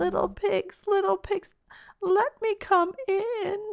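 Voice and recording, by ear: Putting on a character voice, a woman speaks at an extremely high pitch. She sounds shaky and keeps a fairly slow pace.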